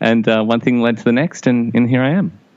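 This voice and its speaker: With an Australian accent, a man speaks in lively intonation over noticeable background noise. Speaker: radio music director. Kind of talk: interview. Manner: hesitant, many fillers.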